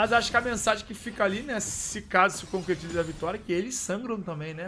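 A man with a high voice talks very fast in a raised, projected voice while music plays in the background. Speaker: esports caster and streamer. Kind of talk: live commentary. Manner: animated; stammering.

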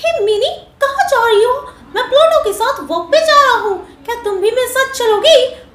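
A woman uses a put-on character voice at an extremely high pitch and a fairly quick pace. There is audible echo. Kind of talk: character voice mimicry. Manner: cheerful, friendly.

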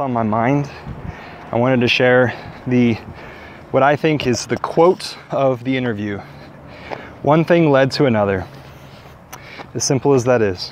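With long, frequent pauses, a man talks at a moderate pace and ordinary pitch variation, in a dry sound with no echo and light background noise. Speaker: vlogger on a walk. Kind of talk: casual vlog chat. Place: forest. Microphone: earbuds.

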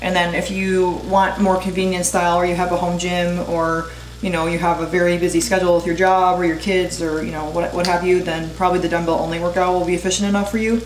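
A woman's fairly low voice at a very fast pace, with hardly any pauses, monotone, flat intonation, audible room echo and light background noise. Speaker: fitness vlogger. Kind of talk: casual vlog chat. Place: kitchen.

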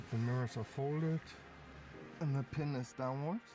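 Backed by clear music, a man speaks at a fairly slow pace with ordinary pitch variation in a dry sound with no echo. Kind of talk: tutorial. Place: car. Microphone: phone near.

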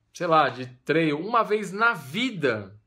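A man's bright, sharp voice against a quiet background. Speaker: running coach. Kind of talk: casual advice vlog. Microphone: phone near.

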